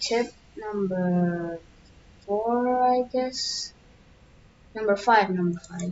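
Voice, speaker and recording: Soft-spoken and at a very slow pace, a woman with a fairly high pitch and ordinary pitch variation talks with long, frequent pauses over noticeable background noise. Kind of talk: casual gameplay tips talk. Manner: very quiet, soft; hesitant, many fillers.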